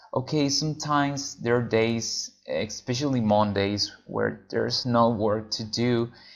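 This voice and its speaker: Very slow speech in a Venezuelan accent with ordinary pitch variation. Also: man. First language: Spanish. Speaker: freelance translator. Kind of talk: tutorial. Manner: casual with frequent fillers.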